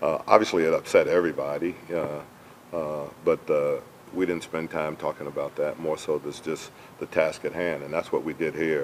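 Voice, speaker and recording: Here a man speaks at a moderate pace. There is noticeable background noise. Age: 60s. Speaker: basketball head coach. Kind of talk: press conference. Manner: halting, many fillers.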